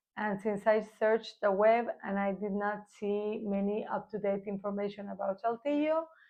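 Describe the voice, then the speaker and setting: With a Spanish accent, a woman speaks at a fairly slow pace and a fairly high pitch. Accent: Spanish accent, imperfect pronunciation. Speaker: real estate agent. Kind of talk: informational vlog. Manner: hesitant, with fillers.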